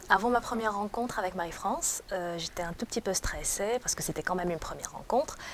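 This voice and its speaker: Noticeable background noise sits under a very fast delivery with hardly any pauses and ordinary pitch variation. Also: woman, medium pitch for a woman. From Tunisia. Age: 30s. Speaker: job seeker. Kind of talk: interview testimony. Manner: hesitant.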